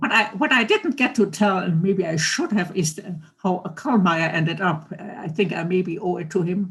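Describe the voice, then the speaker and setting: A somewhat breathy woman with a medium pitch and an American accent talks with hardly any pauses. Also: ordinary pitch variation, moderate pace. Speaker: Holocaust survivor and author. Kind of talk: testimony. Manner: halting.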